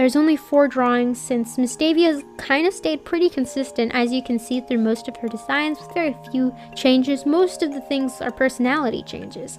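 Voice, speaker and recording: With music in the background, a woman talks at a moderate pace. Her pitch is high, with ordinary pitch variation. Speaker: artist and video creator. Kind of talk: casual commentary on own drawings.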